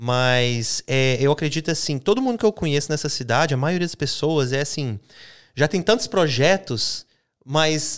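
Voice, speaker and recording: With a non-native accent, a fairly high-pitched man speaks at a moderate pace and with lively intonation. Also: very clean recording, silent background. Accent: foreign, makes errors in Portuguese. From Minas Gerais roots, raised abroad. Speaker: podcast host. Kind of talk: casual interview. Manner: high energy.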